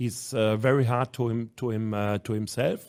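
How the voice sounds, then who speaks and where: A man with a German accent speaks at a fairly slow pace in a medium pitch. His intonation stays fairly even. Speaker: handball club manager and national team coach. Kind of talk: podcast interview. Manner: halting, many repetitions.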